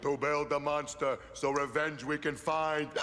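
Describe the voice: Clear background noise sits behind a man doing a cartoonish character voice at a fairly high pitch. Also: moderate pace.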